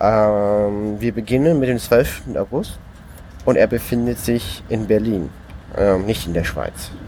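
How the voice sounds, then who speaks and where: A man's medium-pitched voice, with ordinary pitch variation, unfolds at a very slow pace. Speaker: podcast co-host. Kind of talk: informal report reading from a diary. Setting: on a moving train, noisy background. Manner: halting, with repetitions and filler words.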